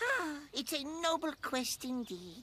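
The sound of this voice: A cartoonish character voice, pitched high, moves along at a fairly slow pace.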